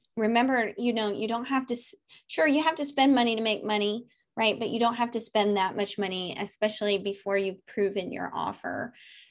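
A woman with a fairly high pitch and ordinary pitch variation is captured on a very clean recording against a silent background. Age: 30s. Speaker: email marketing strategist. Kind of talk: casual interview. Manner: animated.

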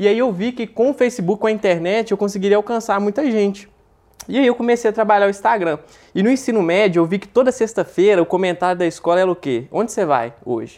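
A man's high, animated voice at a very fast pace, with ordinary pitch variation. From Minas Gerais, Brazil (Belo Horizonte). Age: 20s. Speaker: dropshipping entrepreneur. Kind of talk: casual interview.

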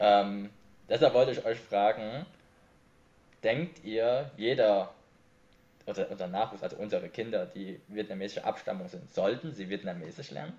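A somewhat breathy voice with a dark, mellow tone speaks at a moderate pace with lively intonation. Loudness swings widely, and the pauses are long and frequent. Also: man, medium pitch for a man. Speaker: video podcast host. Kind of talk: casual interview chat.

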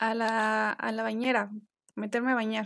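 In a very clean recording over a silent background, a woman speaks at a fairly slow pace. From Mexico. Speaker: podcast host. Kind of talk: interview.

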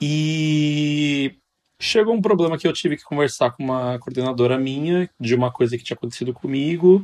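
A man uses a normal speaking voice, fairly high in pitch, with ordinary pitch variation at a moderate pace. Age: 20s. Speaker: medical student. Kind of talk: casual chat.

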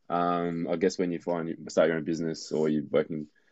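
Fairly quick speech comes from a man with an Australian accent and a very deep, low pitch. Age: 30s. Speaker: visual artist, former electrician. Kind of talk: interview.

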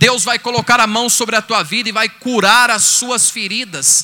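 A man's raised, projected voice, high in pitch with a bright, sharp tone, at a fairly slow pace. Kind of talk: sermon, preacher in full flow, exhorting and pleading with the crowd. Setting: stage with audience at a retreat event. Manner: fervent, animated, rising and emphatic, direct address to the audience.

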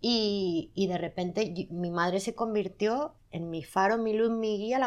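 Speaking very slowly, a woman holds a medium pitch. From Spain, Zaragoza (Aragon). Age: 40s. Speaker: magazine editor. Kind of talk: casual interview. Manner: loud at times.

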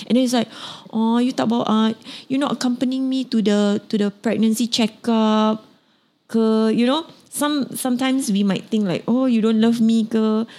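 Recorded very cleanly against a silent background, a woman with a Singaporean accent speaks fairly high in pitch with a dark, mellow tone. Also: moderate pace, very even loudness. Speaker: podcast host. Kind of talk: casual interview chat. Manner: animated, laughing.

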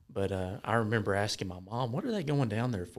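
Speaking at a very fast pace, a man with a Southern US accent uses a medium pitch and ordinary pitch variation. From US South, Georgia. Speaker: church member sharing testimony. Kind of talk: testimony.

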